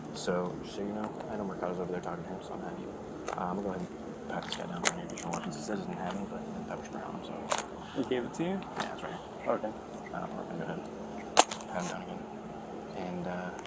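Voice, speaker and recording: A man's very fast speech runs against loud background noise. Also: ordinary pitch variation. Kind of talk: field conversation. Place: street. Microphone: lapel.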